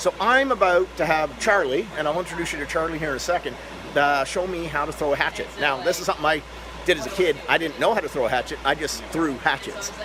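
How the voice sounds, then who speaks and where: Loud and animated, the voice moves at a very fast pace with ordinary pitch variation against noticeable background noise. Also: man, high pitch for a man. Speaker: event vlogger / hunting and angling federation representative. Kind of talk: casual on-site interviews and vlogging. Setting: trade show floor.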